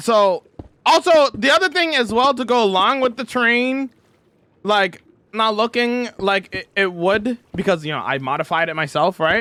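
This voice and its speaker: A man's raised, projected voice, high-pitched and bright with a sharp edge, at a moderate pace with very wide pitch swings. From Canada. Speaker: video game streamer. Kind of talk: live stream chat. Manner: loud; emphatic.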